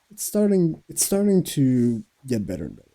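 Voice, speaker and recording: A man with a French Canadian accent speaks fairly slowly in a dark, mellow tone, his pitch swinging very widely. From Quebec. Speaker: podcast host. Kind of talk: casual monologue. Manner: halting.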